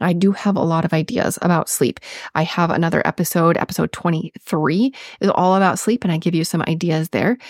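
The voice carries a Minnesotan accent at very even loudness. The sound is dry and close, with no echo. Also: woman, fairly low pitch for a woman, ordinary pitch variation, fairly quick pace. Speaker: registered nurse and health podcast host. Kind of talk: solo health podcast talk. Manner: casual, chatty.

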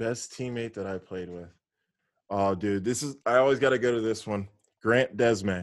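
The pace is moderate. A man speaks at a medium pitch with ordinary pitch variation. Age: 30s. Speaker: former pro baseball player. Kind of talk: casual chat. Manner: animated.

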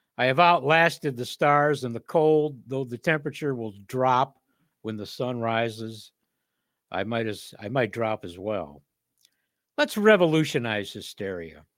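In a very clean recording with a silent background, a man with a normal speaking voice and medium pitch talks at a fairly slow pace, using lively intonation and big swings in loudness. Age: 60s. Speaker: poet and podcast host. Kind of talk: reading aloud. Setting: studio.

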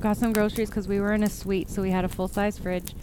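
Noticeable background noise sits behind a woman speaking. She talks very fast in a fairly high voice. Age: 40s. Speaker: podcast host and horror author. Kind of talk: casual solo podcast monologue. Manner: animated.

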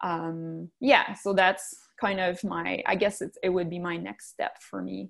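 A woman with a Quebec French accent speaks with big swings in loudness, recorded very cleanly against a silent background. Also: fairly slow pace. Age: 30s. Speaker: physiotherapist and business owner. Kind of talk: interview.

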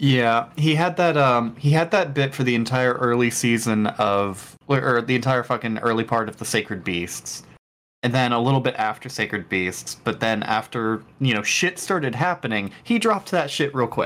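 This is a normal speaking voice with lively intonation at a moderate pace and hardly any pauses. The recording is very clean, with a silent background. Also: man, medium pitch for a man. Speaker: podcast co-host. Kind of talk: casual chat.

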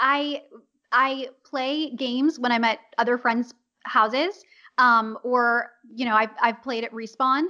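Woman with a Californian accent, high-pitched and bright, sharp in tone, at a very slow pace with fairly even intonation. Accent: General American, Californian. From Los Angeles. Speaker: voice actor. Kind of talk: casual interview.

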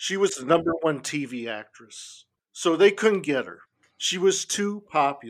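Man with a Californian accent, high-pitched, lively in intonation, big swings in loudness, at a fairly slow pace. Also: very clean recording, silent background. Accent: California American English. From Los Angeles, US West Coast. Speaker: punk musician and music critic. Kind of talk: casual interview chat.

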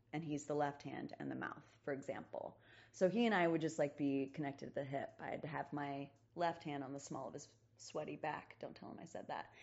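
A woman with a very deep, low pitch talks at a fairly quick pace with vocal fry. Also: fairly even intonation. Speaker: stage actor. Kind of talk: casual chat.

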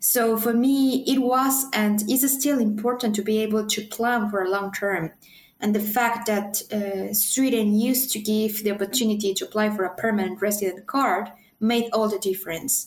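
At a moderate pace, a somewhat breathy woman with a fairly high pitch speaks with fairly even intonation and very even loudness. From Mexico City. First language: Spanish. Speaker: PhD student. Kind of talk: interview.

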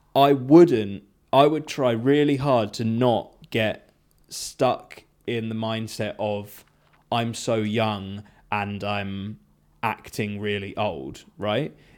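A man talks very slowly at a medium pitch, letting it rise and fall a normal amount. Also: very clean recording, silent background. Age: 30s. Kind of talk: casual chat.

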